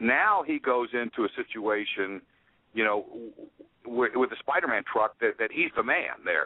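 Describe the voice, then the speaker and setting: A man at a moderate pace with very even loudness. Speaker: motorsport announcer. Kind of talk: interview answer. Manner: casual, halting.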